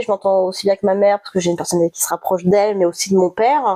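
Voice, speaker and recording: A woman's medium-pitched voice carries a dark, mellow tone. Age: 30s. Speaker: podiatrist, interview guest. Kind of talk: interview. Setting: cozy home setting under a duvet. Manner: halting.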